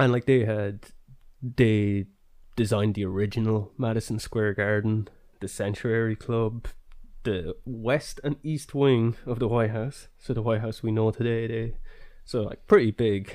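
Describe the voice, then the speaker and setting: Against a quiet background, a man in a normal speaking voice speaks at a fairly slow pace. His medium pitch comes with fairly even intonation. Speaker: podcast host. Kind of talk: casual chat, history podcast.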